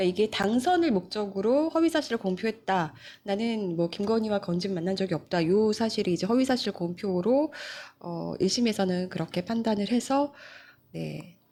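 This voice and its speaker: Her tone is dark and mellow. The woman speaks at a moderate pace and a medium pitch. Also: lively intonation. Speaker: news show host, journalist. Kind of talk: live-stream news talk show. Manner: conversational, many fillers.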